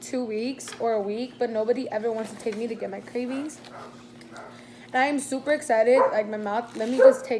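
A woman with a high voice speaks at a moderate pace amid noticeable background noise. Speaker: vlogger. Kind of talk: casual vlog chat. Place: home room. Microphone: phone near.

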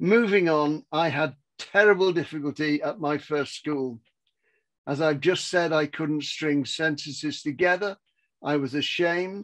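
Speaking at a fairly slow pace with an English accent, a man uses a fairly high pitch and ordinary pitch variation. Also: quiet background. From England. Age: 80s+. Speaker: business mentor and author. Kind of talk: motivational talk. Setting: video call. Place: home room. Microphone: headset.

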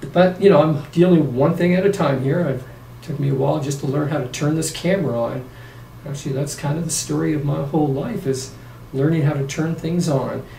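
Amid audible room echo and light background noise, a man talks at a fairly quick pace with fairly even intonation. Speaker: vlogger. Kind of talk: casual vlog chat. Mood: opinionated then relaxed. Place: home room. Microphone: camera far.

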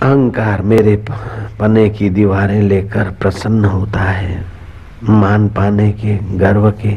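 Speaking very slowly with long, frequent pauses, a man keeps his loudness very even and his intonation monotone and flat. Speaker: spiritual preacher. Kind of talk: sermon. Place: tent. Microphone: studio mic.

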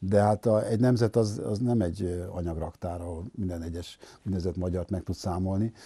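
Very deep and low in pitch, a man speaks with a dark, mellow, somewhat breathy tone, fairly even intonation and a moderate pace, in a dry sound with no echo. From Hungary, Budapest; Hungary. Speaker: sociologist; guest. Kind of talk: interview. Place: studio. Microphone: lapel.

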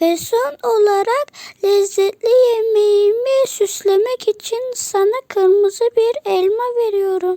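The speaker is a woman doing a put-on character voice. She pitches it extremely high. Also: fairly slow pace. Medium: read story. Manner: sly.

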